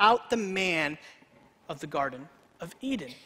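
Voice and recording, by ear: A man speaks at a moderate pace in a bright, sharp tone. His intonation is lively.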